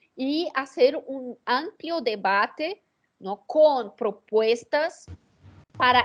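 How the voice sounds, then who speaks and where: Speaking very slowly, a woman uses lively intonation. She has a Portuguese accent. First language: Portuguese (speaking Spanish). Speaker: political strategist. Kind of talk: interview. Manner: halting, many fillers and repetitions.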